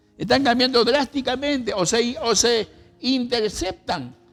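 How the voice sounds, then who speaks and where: An extremely high-pitched man at a very slow pace. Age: 70s. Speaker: pastor. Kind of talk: sermon.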